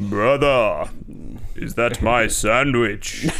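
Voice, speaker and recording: A man's put-on character voice at medium pitch, over clear background noise. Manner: booming, solemn, brotherly.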